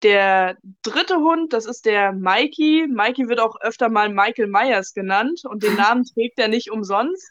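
A woman speaks in an unremarkable speaking voice, fairly high in pitch, at a fairly slow pace. Her intonation is lively and her loudness very even. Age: 20s. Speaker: dog trainer. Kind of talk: casual interview, storytelling.

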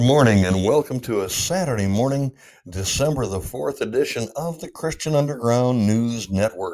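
On a very clean recording with a silent background, a man speaks at medium pitch and a moderate pace with lively intonation. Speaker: radio host. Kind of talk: casual chat. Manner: halting.

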